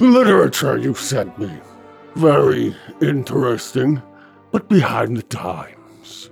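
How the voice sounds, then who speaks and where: A man's raspy, medium-pitched put-on character voice at a fairly slow pace, with long, frequent pauses and faint music in the background. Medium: audio drama. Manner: unctuous, flattering.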